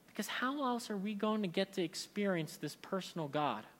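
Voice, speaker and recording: Here a man speaks at a moderate pace with lively intonation. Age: 30s. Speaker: pastor. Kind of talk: sermon.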